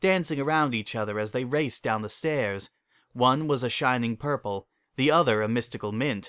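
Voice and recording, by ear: A quiet background surrounds the speech. The text is read aloud in a natural voice.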